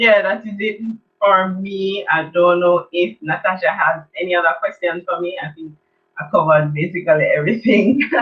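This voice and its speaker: A woman speaks at a moderate pace in a fairly low pitch, her loudness swinging widely. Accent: Jamaican. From Jamaica. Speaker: children's art teacher. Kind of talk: online event presentation.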